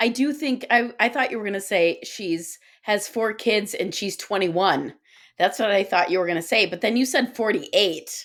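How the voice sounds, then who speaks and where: Speaking at a moderate pace in an American accent, a woman uses an ordinary speaking voice at a medium pitch with ordinary pitch variation on a very clean recording with a silent background. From Guyana, Pakistan and Chicago suburbs. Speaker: author and podcaster. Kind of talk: casual chat.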